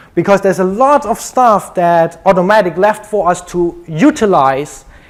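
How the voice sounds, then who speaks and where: A man with a German accent. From Germany. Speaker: conference speaker, web developer. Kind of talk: conference talk. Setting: stage with audience.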